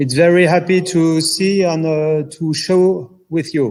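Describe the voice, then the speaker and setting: This man talks at a very slow pace with a strong French accent. His pitch is fairly high, and his intonation is fairly even. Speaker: calvados cellar master. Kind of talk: live online tasting interview.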